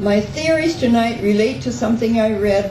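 A woman speaks at a moderate pace with lively intonation. Audible room echo and light background noise surround her voice. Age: 70s. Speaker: poet. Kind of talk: poetry slam performance. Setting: live stage with audience. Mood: quirky, playful. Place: stage.

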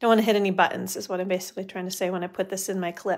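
Over a quiet background, a woman talks at a very fast pace. Her pitch is medium. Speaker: stamping and papercraft demonstrator; papercraft demonstrator. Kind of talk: live craft demo. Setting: Facebook live stream from home studio. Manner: chatty, upbeat.

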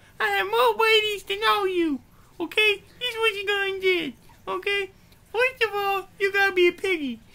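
This cartoonish character voice has vocal fry, a bright, sharp tone, fairly even intonation and a moderate pace.

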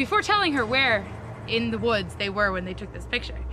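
A woman speaks in a dry recording with no echo, with faint music playing in the background. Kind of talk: casual storytelling. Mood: playful, spooky story. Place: forest.

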